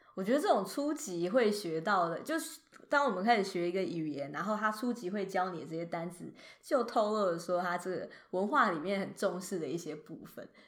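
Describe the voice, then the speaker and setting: A woman's medium-pitched voice at a fairly quick pace, with very wide pitch swings. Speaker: podcast co-host. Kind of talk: casual chat.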